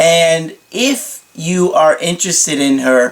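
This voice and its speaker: Very slow talking, with noticeable noise in the background. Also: man. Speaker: dating coach. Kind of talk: advice monologue.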